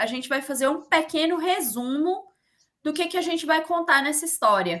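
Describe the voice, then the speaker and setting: A woman projects her raised voice at a moderate pace. Her tone is bright and sharp. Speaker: teacher. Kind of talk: online lecture.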